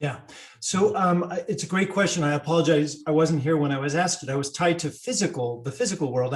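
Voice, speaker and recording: With an American accent, the speaker moves at a fairly quick pace with ordinary pitch variation over noticeable background noise. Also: man. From United States. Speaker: digital economy expert, panelist. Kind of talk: panel discussion.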